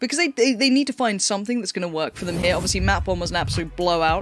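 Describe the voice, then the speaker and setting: Lively intonation marks this very fast speech in a London accent. The recording is very clean, with a silent background. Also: woman. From northwest London. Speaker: esports caster. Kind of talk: live commentary.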